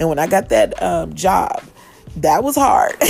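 A woman with an American accent speaks over music in the background. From Kansas City, Missouri. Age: 40s. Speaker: podcast host and chef. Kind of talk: casual monologue. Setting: outdoors on porch.

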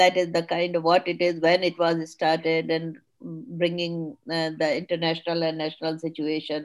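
Speaking with an Indian accent, a woman uses a fairly low pitch and monotone, flat intonation with hardly any pauses. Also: moderate pace. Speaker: webinar moderator. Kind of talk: panel discussion. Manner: hesitant, many fillers.

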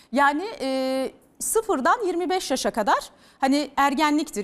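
Her intonation is lively. The woman's voice sits at a high pitch. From Turkey, Bursa. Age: 30s. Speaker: news anchor. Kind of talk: TV interview. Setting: TV studio.

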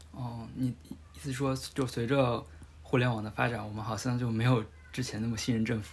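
A man speaks at a fairly quick pace with a medium pitch and fairly even intonation. Noticeable background noise and audible room echo surround him. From Hubei. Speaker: podcast host. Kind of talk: casual chat.

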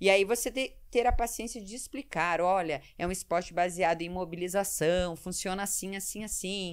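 Speaking with hardly any pauses, a woman uses a normal speaking voice with ordinary pitch variation and big swings in loudness. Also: medium pitch for a woman, moderate pace, very clean recording, silent background. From Curitiba, southern Brazil. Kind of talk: casual interview chat.

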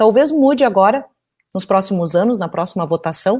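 With lively intonation and a dark, mellow tone, a woman speaks in a southern Brazilian accent. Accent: gaúcho Brazilian Portuguese. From Porto Alegre, Brazil. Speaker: engineer and president of engineering council. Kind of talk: live interview discussion. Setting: online live stream.

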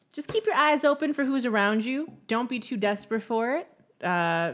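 On a very clean recording with a silent background, a woman with a fairly high pitch and lively intonation talks at a moderate pace in a normal speaking voice. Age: 30s. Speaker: podcast co-host. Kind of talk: casual chat.

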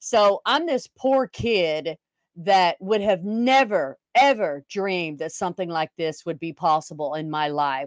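A woman with a Texan accent speaks in a fairly low voice at a fairly slow pace, with lively intonation. The recording is very clean, with a silent background and a dry, close sound with no echo. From Texas. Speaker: retired police officer and RV club owner. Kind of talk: interview.

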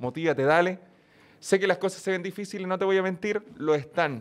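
Speaking at a fairly quick pace, a man with a high-pitched voice talks in a Chilean accent. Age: 20s. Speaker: YouTuber and streamer. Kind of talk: casual chat.

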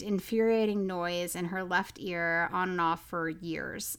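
In a very clean recording with a silent background, someone with an American accent speaks at a fairly slow pace in an unremarkable speaking voice. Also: woman. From Oklahoma. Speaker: podcast co-host. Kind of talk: casual chat.

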